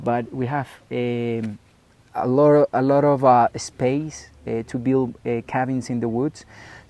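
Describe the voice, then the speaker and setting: A man with a Spanish accent speaks with a medium pitch, a dark, mellow tone, and monotone, flat intonation. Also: fairly slow pace. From Colombia, Medellín. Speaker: ranch owner and tourism entrepreneur. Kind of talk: interview conversation. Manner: halting, many fillers and repetitions.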